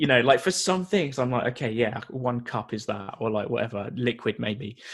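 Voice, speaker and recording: With a British accent, a man talks at a medium pitch with lively intonation. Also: moderate pace. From UK. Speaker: nutrition coach and personal trainer. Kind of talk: podcast interview.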